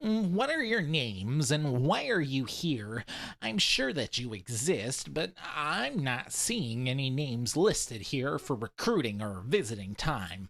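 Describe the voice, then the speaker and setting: A man puts on a character voice at a medium pitch, swinging very widely in pitch at a fairly slow pace with hardly any pauses, in a very clean recording with a silent background. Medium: read story. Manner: dry, sarcastic, bureaucratic.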